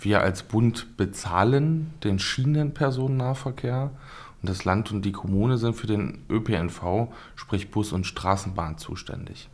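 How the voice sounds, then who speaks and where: A man's fairly low voice at a very slow pace. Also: ordinary pitch variation. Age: 30s. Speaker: member of parliament. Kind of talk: casual chat.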